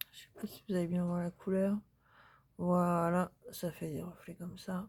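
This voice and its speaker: Somewhat breathy, the speaker has a dark, mellow tone. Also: woman. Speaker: crafting youtuber. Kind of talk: casual haul video talk. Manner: hesitant, many fillers.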